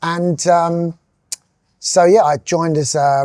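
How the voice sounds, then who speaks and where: A man's dark, mellow voice in a southern English accent. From southern England, Sussex coast. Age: 50s. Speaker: music industry executive. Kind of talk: interview monologue. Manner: hesitant, with fillers.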